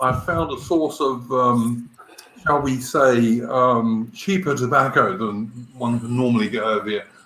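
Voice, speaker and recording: Noticeable background noise sits under a man's voice of medium pitch. He talks at a fairly slow pace with ordinary pitch variation. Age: 50s. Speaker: livestream guest. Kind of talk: casual chat.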